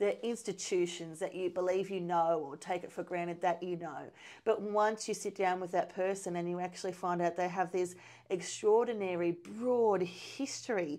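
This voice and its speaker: A woman with an Australian accent speaks at a moderate pace and medium pitch, her intonation fairly even. The recording is very clean, with a silent background. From Hay, New South Wales, Australia. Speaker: cadet journalist. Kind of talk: casual chat.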